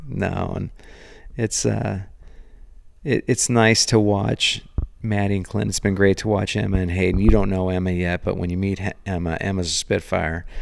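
With an American accent, this normal speaking voice moves at a moderate pace with fairly even intonation on a very clean recording against a silent background. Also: man, fairly low pitch for a man. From Northern California (Sonoma County). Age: 50s. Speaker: entrepreneur and former grocery store owner. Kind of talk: casual interview. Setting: at home.

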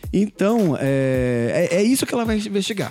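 A man's intonation is lively against noticeable background noise. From São Paulo, Brazil. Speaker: political podcast host. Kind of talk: casual political commentary.

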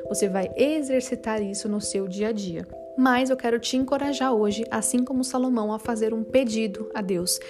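Over noticeable background noise, a woman speaks at a moderate pace. Her voice has a warm tone and a fairly high pitch with ordinary variation. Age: 20s. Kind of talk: devotional talk. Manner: warm, conversational.

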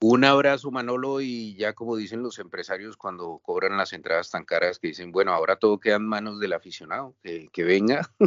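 Talking at a fairly quick pace with hardly any pauses, a man with a Colombian accent uses a medium pitch and ordinary pitch variation. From Colombia, Bogotá. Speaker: writer and former novice bullfighter. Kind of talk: interview.

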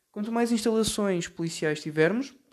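The man's intonation is fairly even, and the background is quiet. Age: 20s. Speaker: podcast host. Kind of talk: solo commentary monologue. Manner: hesitant, many filler sounds.

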